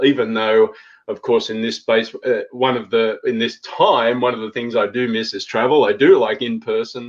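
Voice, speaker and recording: Here a man talks at a moderate pace. He has an Australian accent. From Australia, Sydney. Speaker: intercultural consultant and relocation trainer. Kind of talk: live panel discussion. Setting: live video stream.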